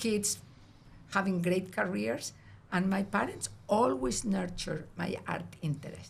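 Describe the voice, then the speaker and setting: Speaking with a Spanish accent at a fairly slow pace, a woman with a medium-pitched voice and vocal fry uses lively intonation and long, frequent pauses. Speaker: artist. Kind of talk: casual chat.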